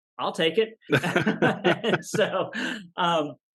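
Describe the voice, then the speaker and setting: A man with a Texan accent and ordinary pitch variation against a quiet background. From Texas, Dallas area. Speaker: professional illusionist. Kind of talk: interview testimony.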